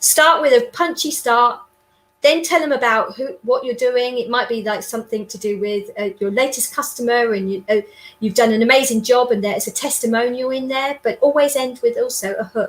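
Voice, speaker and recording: A woman speaks loudly at a high pitch. Her pace is fairly quick, with ordinary pitch variation. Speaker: sales trainer and business development consultant. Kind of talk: interview. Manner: animated.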